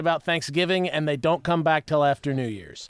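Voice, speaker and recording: A man's voice, dry and close with no echo, on a very clean recording over a silent background. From West Virginia. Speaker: musician and music producer. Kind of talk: casual chat.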